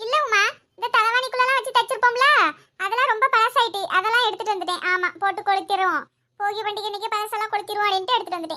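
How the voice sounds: A woman speaks in a cartoonish character voice at extremely high pitch. Her pace is fairly quick and her pitch variation ordinary.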